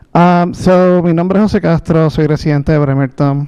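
With a Spanish accent, a man speaks at a moderate pace in a dark, mellow tone with ordinary pitch variation. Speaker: public commenter. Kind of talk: public comment at meeting. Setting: public board meeting. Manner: halting.

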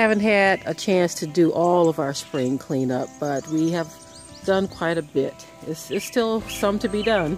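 Fairly slow speech over clear music in the background. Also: dry sound with no echo. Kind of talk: casual vlog chat. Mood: relaxed, cheerful. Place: garden. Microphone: phone near.

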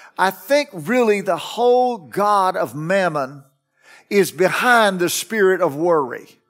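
A man's voice over faint music in the background. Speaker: pastor preaching. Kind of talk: sermon. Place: church. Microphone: headset.

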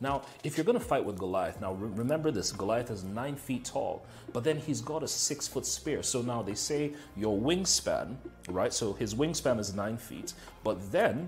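Faint music plays in the background while the speech moves at a moderate pace. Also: man. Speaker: motivational speaker. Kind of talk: motivational talk. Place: home room. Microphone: lapel.

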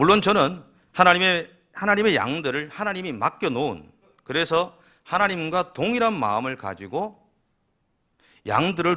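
A man with a bright, sharp tone and vocal fry speaks at a fairly high pitch and a moderate pace, his pitch swinging very widely. The recording is very clean, with a silent background. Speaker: pastor. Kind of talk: sermon.

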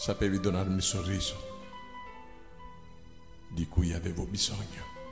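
Music behind a man's fairly slow speech. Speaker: narrator. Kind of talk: poetry reading. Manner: emotional, tearful.

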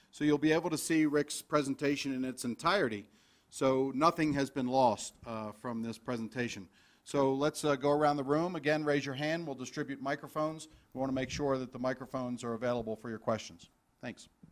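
On a very clean recording with a silent background, a man with a plain, everyday voice speaks at a fairly quick pace, his fairly high pitch varying in an ordinary way. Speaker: event host. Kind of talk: event hosting and introductions. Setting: conference room with live stream.

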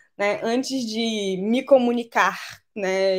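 Everything is delivered in a flat, monotone way. Nothing much stirs in the background. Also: woman. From Brazilian Amazon (Belém, Pará / Macapá, Amapá). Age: 20s. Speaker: climate justice speaker, biologist. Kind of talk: online lecture. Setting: live online video class. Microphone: webcam.

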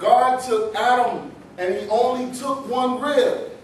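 Amid audible room echo and light background noise, a man speaks at an extremely high pitch. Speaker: pastor. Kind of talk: spoken word poetry performance at a live poetry night. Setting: live venue with audience responding. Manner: improvised, preacher-style cadence. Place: hall. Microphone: camera far.

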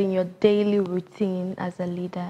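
A woman's voice at a moderate pace. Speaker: podcast host. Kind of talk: interview. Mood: friendly, attentive. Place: office.

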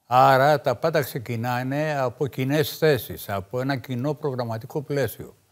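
A man at a fairly slow pace, with hardly any pauses, ordinary pitch variation, and a quiet background. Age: 60s. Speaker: veteran left-wing politician; guest. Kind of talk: political talk show debate. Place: studio. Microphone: lapel.

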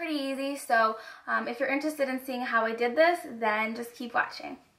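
A woman's high voice at a fairly quick pace, with ordinary pitch variation. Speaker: beauty vlogger. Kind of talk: casual talk to camera. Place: home room. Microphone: camera far.

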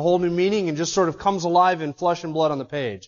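Over a quiet background, a man talks with a high pitch. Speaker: pastor. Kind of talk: sermon. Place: church.

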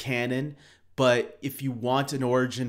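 A man is speaking. The background is quiet. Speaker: video creator. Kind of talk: casual commentary. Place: home room.

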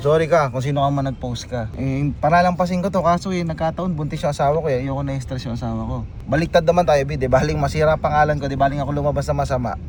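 A man talks very fast at a fairly high pitch while noticeable background noise plays underneath. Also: hardly any pauses. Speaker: vlogger. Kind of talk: casual chat. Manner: animated.

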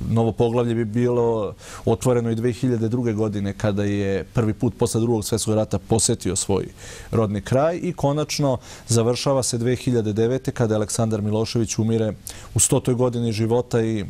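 Fairly even intonation and very even loudness mark a man speaking at a moderate pace. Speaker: guest. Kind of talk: interview answer. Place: studio. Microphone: lapel.

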